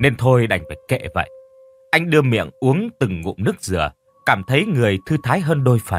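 Plain reading aloud with lively intonation.

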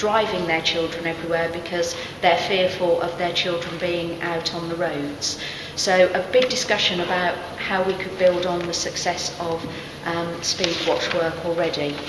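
A woman speaks at a fairly low pitch with monotone, flat intonation. Noticeable background noise runs underneath. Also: moderate pace. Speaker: council staff summarising a discussion. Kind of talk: summary report to camera. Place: hall. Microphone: handheld.

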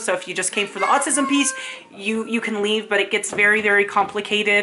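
A woman's voice with fairly even intonation over light background noise. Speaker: vlogger. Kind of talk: casual talk to camera. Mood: emotional, embarrassed, animated. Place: home room.

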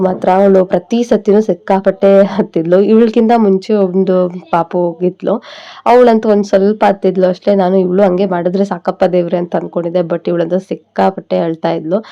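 This woman has a medium pitch, a dark, mellow tone, fairly even intonation and very even loudness. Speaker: family vlogger, new mother. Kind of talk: casual vlog talk to camera.

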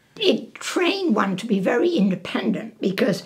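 A woman's voice at a fairly slow pace, with very wide pitch swings and a quiet background. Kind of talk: interview answer.

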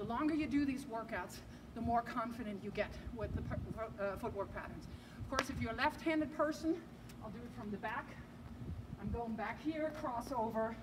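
Fairly quick speech from a woman, with ordinary pitch variation and noticeable background noise. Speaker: tennis coach. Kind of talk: tutorial. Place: street. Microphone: camera far.

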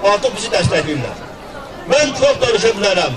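A man at a moderate pace, with crowd noise in the background. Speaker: speaker at commemoration. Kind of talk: commemorative speech. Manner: formal, solemn. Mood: solemn, patriotic. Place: street.

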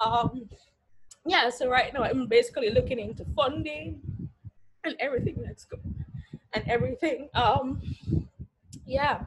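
A woman speaks at a fairly slow pace, with long, frequent pauses and big swings in loudness. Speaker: graduating senior. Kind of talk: casual reflective speech. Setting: video call.

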